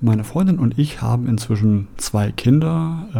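Lively intonation marks this man's somewhat breathy voice, which has a dark, mellow tone at medium pitch. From Germany, Essen (Ruhr area). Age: 40s. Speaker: podcast host. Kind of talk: monologue podcast introduction.

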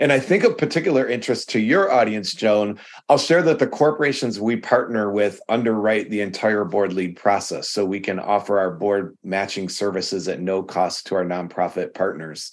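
A man with an ordinary speaking voice talks at a moderate pace with hardly any pauses, against a quiet background. His pitch is fairly low, with ordinary variation. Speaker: nonprofit board consultant. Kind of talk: casual interview chat.

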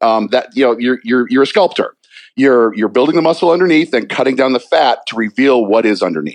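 A man with an American accent and a plain, everyday voice, medium in pitch, at a fairly quick pace with lively intonation. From Virginia, Newport News. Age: 50s. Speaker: talk radio co-host and bodybuilder. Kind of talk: casual chat.

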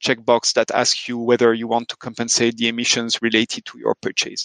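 A man speaks at a moderate pace with a French accent, the sound dry and close with no echo over a quiet background. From France. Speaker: sustainability tech founder. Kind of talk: interview.

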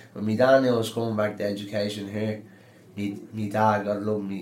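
A man's fairly low-pitched voice with audible room echo. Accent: Dublin. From Dublin, Ireland. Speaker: adult education student. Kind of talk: interview.

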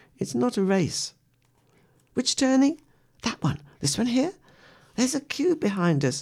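At a fairly slow pace with long, frequent pauses, a woman with a fairly high pitch uses a gentle, warm tone, vocal fry, very wide pitch swings and very even loudness on a very clean recording with a silent background. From West Midlands, England. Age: 80s+. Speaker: radio presenter and poet. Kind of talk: reading poems aloud between personal stories. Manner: gentle, warm, reflective storytelling with soft laughs; poem delivery: measured, expressive, rhythmic reading with a prayerful tone.

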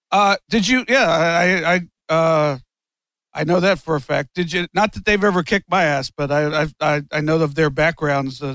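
A man speaks in a normal speaking voice at a moderate pace, with fairly high pitch and ordinary pitch variation. The sound is dry and close, with no echo. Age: 50s. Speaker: wrestling podcast host. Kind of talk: casual interview chat.

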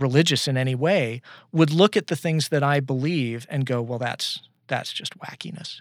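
Recorded very cleanly against a silent background with a dry, close sound and no echo, a man speaks at a fairly high pitch and a moderate pace with ordinary pitch variation. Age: 40s. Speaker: librarian. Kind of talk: interview. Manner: halting, many repetitions and fillers.

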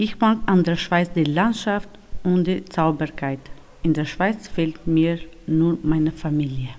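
This woman talks at a very slow pace in a fairly low pitch with a non-native accent. Her pitch varies in an ordinary way. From North Macedonia. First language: not German (speaking German). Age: 30s. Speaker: homemaker, former nurse. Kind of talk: reading aloud.

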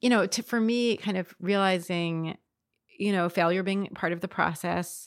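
A normal speaking voice with an American accent, ordinary pitch variation and a moderate pace. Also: woman. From US, Baltimore County, Maryland. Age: 40s. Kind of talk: casual interview chat. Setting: host's living room.

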